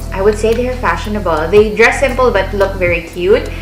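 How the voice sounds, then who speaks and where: A woman talks at a moderate pace with a fairly high pitch. Music plays in the background, and room echo is audible. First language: Filipino (Tagalog). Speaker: vlogger, language assistant. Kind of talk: casual vlog advice.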